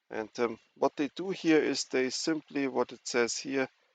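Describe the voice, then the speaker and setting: At a moderate pace, a man with a non-native accent speaks in a dry, close sound with no echo over a quiet background. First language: not English. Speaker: cybersecurity educator. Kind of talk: tutorial. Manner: halting.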